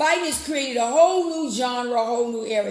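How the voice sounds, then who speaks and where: Over noticeable background noise, a woman with a high pitch talks in an animated tone with ordinary pitch variation. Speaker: political talk radio host. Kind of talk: live political commentary stream. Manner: conversational, animated.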